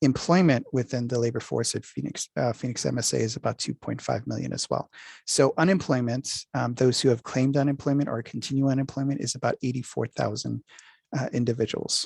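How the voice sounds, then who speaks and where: Over a quiet background, a man with an unremarkable speaking voice talks fairly quickly at medium pitch with fairly even intonation, in a dry, close sound with no echo. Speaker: workforce development presenter. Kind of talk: presentation. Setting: video call.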